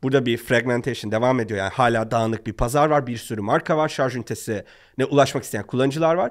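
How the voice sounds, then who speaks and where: Speaking at a very fast pace with hardly any pauses, a man uses ordinary pitch variation against a quiet background. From Turkey. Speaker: startup founder; guest. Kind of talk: podcast interview. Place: studio. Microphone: studio mic.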